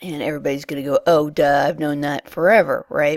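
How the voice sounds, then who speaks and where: At a fairly quick pace, a woman talks in a very deep, low voice, recorded with a dry, close sound and no echo. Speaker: tutorial creator for a virtual world. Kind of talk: tutorial. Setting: recording alone early in the morning. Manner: casual, slightly rambling.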